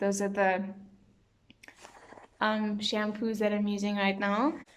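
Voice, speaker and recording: The speech comes at a fairly slow pace with very even loudness and monotone, flat intonation in audible room echo. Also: woman, medium pitch for a woman. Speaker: beauty vlogger. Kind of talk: casual product review vlog. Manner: hesitant, many fillers.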